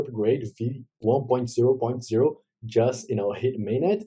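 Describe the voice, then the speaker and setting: A man talks in a dark, mellow tone that is somewhat breathy. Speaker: blockchain ecosystem correspondent. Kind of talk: news update segment. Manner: fast; casual, filler-heavy.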